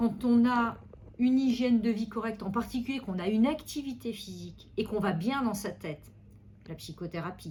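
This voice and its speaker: A woman talks at a moderate pace with a fairly high pitch and ordinary pitch variation. Her tone is dark and mellow and somewhat breathy. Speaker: neurologist. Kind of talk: medical consultation interview.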